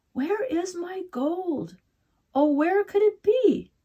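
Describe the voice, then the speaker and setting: Putting on a character voice, a woman mumbles at a very slow pace in a squeaky, extremely high pitch. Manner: mumbling, grumbling.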